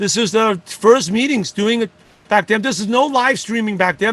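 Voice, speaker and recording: A man talks at a fairly quick pace. His pitch is high, with ordinary variation. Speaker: network marketing leader and coach. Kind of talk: motivational talk. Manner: fast.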